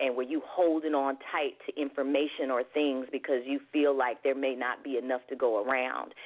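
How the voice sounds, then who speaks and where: Her pitch is very deep and low for a woman. She keeps a moderate pace with hardly any pauses. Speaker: singer-songwriter and life coach. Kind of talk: radio talk show interview. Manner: animated.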